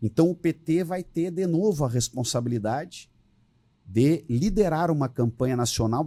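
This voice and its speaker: Lively in intonation and somewhat breathy, a man with a dark, mellow tone talks at a moderate pace in a dry, close sound with no echo and a very clean recording with a silent background. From southern Brazil (Rio Grande do Sul). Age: 60s. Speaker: politician. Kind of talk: podcast interview.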